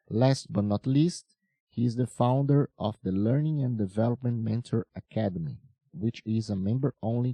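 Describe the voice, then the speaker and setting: A man speaks with a Portuguese accent and a dark, mellow tone. His pitch varies in an ordinary way. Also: dry, close sound with no echo. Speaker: podcast host. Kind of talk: interview. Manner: formal.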